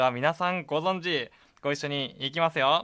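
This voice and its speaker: A man's high-pitched voice, bright and sharp in tone, at a moderate pace on a very clean recording with a silent background. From Hokkaido, Japan. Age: 20s. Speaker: internet radio host. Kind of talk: casual solo radio talk. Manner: animated.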